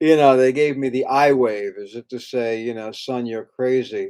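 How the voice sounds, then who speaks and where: This is a man with an ordinary speaking voice at a medium pitch. He talks at a moderate pace. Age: 60s. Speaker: acupuncturist, fertility clinic founder. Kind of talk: direct-to-camera talk. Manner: casual, with fillers.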